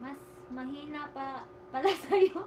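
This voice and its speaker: A high-pitched woman's voice amid noticeable background noise and audible room echo. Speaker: live streamer. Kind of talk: casual livestream chat. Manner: chatty, informal.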